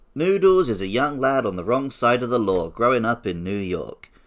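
An ordinary speaking voice comes at a moderate pace on a very clean recording with a silent background. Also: man. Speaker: podcast co-host. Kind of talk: casual chat.

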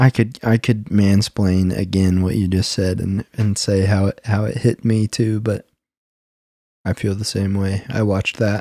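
A man speaks at a fairly slow pace with a fairly low pitch, a dark, mellow tone and fairly even intonation. The recording is very clean with a silent background and a dry, close sound with no echo. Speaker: podcast co-host. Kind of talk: casual conversational chat. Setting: video recording, in person with co-host.

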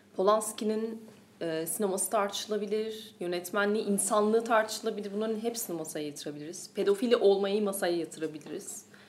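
A woman at a fairly quick pace with fairly even intonation, over noticeable background noise. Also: medium pitch for a woman. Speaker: film podcast host. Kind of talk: casual chat.

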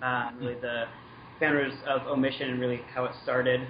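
A man with an American accent, medium pitch and a moderate pace, amid noticeable background noise. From Washington State. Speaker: brand manager. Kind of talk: interview over a phone call.

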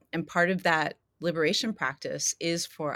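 In a very clean recording with a silent background and a dry, close sound with no echo, a woman with a plain, everyday voice speaks at a fairly low pitch and a moderate pace. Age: 50s. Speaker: spiritual mentor and yoga teacher. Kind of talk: casual chat.

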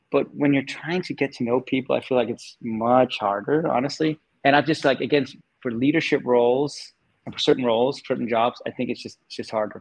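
Using a medium pitch, a man speaks with fairly even intonation. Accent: American. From Denmark. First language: Danish. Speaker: tech executive. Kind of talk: casual interview.

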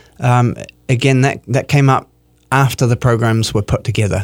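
A man speaks at a medium pitch. He has a New Zealand accent. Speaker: artistic director of a chamber music series. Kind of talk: radio interview. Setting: radio studio.

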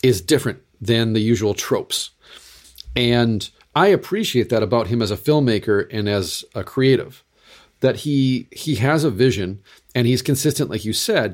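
With a normal speaking voice at medium pitch, a man talks at a moderate pace with lively intonation on a very clean recording with a silent background. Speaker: Lutheran pastor and podcast host. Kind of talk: casual chat.

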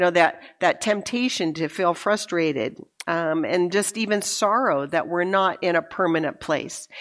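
Against a quiet background, a woman speaks in an ordinary speaking voice at a moderate pace, with fairly low pitch, lively intonation and very even loudness. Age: 60s. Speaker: women's conference speaker. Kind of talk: sermon. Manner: conversational.

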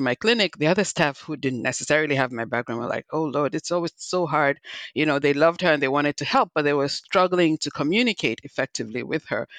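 Against a quiet background, a woman with a Nigerian accent talks at a very fast pace with a very deep, low pitch and lively intonation, in a dry, close sound with no echo. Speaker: physician and health executive. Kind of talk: interview.

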